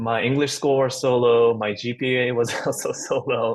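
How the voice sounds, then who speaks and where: Speaking at a fairly slow pace, a man with a Japanese accent has a medium pitch. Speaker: actor. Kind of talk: roundtable discussion.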